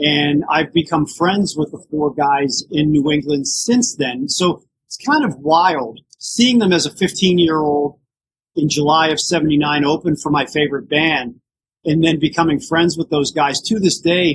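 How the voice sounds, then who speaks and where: At a moderate pace, a man talks in an ordinary speaking voice with a fairly high pitch and ordinary pitch variation. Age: 60s. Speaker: tribute band frontman. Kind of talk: podcast interview.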